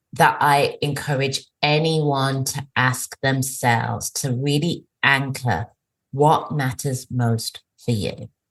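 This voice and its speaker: A woman with an English accent, very deep and low in pitch, at a very slow pace with fairly even intonation. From England. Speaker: career coach. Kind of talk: podcast interview answer.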